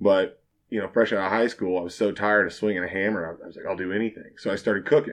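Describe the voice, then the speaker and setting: A man with an American accent speaks at a very fast pace. His pitch is fairly low and his intonation fairly even. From Kansas, Fort Scott. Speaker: bartender. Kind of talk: casual chat.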